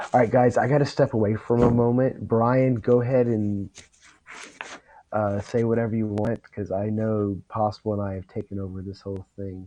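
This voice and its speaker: At a moderate pace, a man with an unremarkable speaking voice speaks at a fairly low pitch with fairly even intonation and big swings in loudness. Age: 40s. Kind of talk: casual chat.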